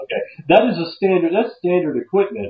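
This speaker has an American accent. The pace is fairly quick. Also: man. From US Southwest. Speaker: podcast host. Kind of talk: casual chat. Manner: casual.

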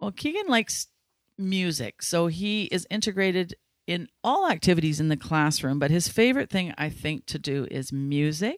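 An unremarkable speaking voice from a woman, fairly low in pitch, with lively intonation at a moderate pace, in a dry, close sound with no echo and a very clean recording with a silent background. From Ladner, British Columbia, Canada. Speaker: school education assistant. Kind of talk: interview.

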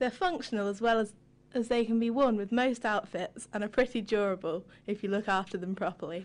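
Against a quiet background, a woman talks at a fairly quick pace in a plain, everyday voice, fairly high in pitch with ordinary pitch variation. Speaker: co-host. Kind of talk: casual chat.

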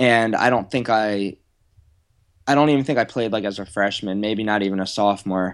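Heard on a very clean recording with a silent background, a man with an American accent has an ordinary speaking voice, fairly low in pitch, with fairly even intonation. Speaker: blogger and former online poker player. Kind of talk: casual chat.

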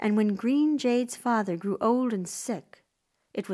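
Against a quiet background, the text is read aloud plainly.

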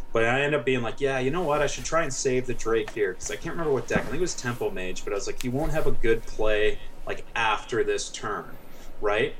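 Noticeable background noise and audible room echo surround the speaker. He is a man talking very fast. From Canada. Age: 20s. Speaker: competitive card game player. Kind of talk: casual chat.

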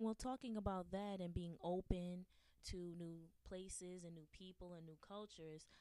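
This woman has an ordinary speaking voice, fairly low in pitch, with ordinary pitch variation. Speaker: guest host. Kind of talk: radio interview.

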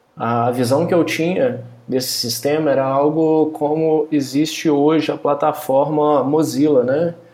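A fairly high-pitched male voice at a fairly slow pace, with hardly any pauses, very even loudness and fairly even intonation, over noticeable background noise. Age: 30s. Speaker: software company co-founder. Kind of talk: casual chat.

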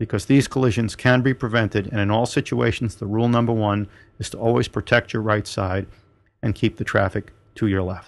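An ordinary speaking voice moves at a fairly quick pace with fairly even intonation against a quiet background. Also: man. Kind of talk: turn-by-turn route directions read out in the style of a traffic report. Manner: clipped, businesslike and instructional, rattling off street names and turns in order.

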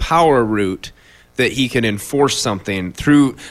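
An unremarkable speaking voice moves at a moderate pace with lively intonation. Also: man. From Iowa, Fort Dodge. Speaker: radio show co-host. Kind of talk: casual political discussion.

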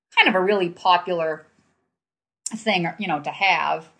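The voice has a bright, sharp tone and a New England accent. Intonation is fairly even over a quiet background. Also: woman. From Manchester, New Hampshire. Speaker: guest's parent, storyteller. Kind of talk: storytelling. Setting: on location at a family home.

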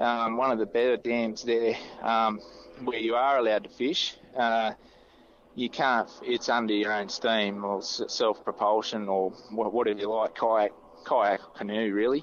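Speaking at a fairly slow pace, a man with an Australian accent holds a medium pitch. His loudness is very even and his intonation fairly even. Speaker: kayak fishing club administrator. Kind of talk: casual interview. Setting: phone call outdoors by a river.

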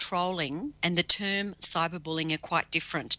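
Speaking at a moderate pace with an Australian accent, the woman has a medium pitch and a bright, sharp tone, with a dry, close sound and no echo. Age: 50s. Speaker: cyber safety educator. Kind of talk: interview. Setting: video call.

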